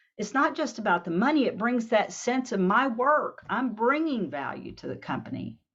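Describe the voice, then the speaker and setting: With lively intonation, a woman with an unremarkable speaking voice talks at a moderate pace. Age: 60s. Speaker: workshop presenter. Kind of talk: workshop presentation.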